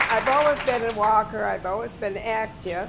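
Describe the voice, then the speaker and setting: Over background music, a woman talks at a medium pitch with lively intonation. Room echo can be heard. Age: 90s. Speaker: heart patient. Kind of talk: testimony.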